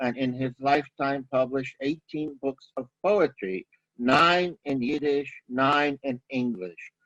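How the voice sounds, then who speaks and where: A man with a Brooklyn accent and a fairly high pitch speaks at a fairly slow pace, the sound dry and close with no echo. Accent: Brooklyn New York. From Brooklyn, New York. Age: 60s. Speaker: Yiddish scholar, lecturer. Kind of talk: lecture. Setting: video webinar.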